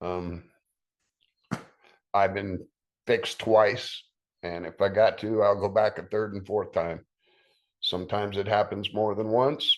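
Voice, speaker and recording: A man with a fairly low voice at a fairly slow pace, long, frequent pauses, quiet background. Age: 60s. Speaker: cancer survivor. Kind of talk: testimony. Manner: casual, with fillers.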